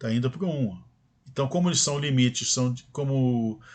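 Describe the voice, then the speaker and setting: A man's plain, everyday voice at a medium pitch with ordinary pitch variation. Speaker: math teacher. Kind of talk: lecture.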